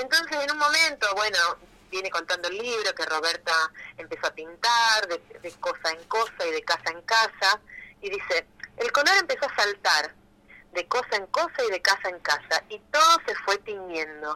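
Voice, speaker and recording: Speaking at a moderate pace, a woman has a fairly high pitch. Her voice swings very widely in pitch. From Argentina, Rosario. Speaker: illustrator and author. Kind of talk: interview.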